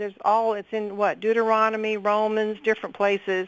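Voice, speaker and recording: A woman's fairly high-pitched voice. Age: 60s. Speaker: caller, retired nurse. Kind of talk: radio call-in.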